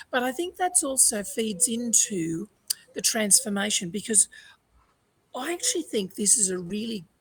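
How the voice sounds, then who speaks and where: A woman talks at a moderate pace in a somewhat breathy voice. Her pitch swings very widely. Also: long, frequent pauses. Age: 60s. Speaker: resilience coach. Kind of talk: panel discussion. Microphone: internet problems.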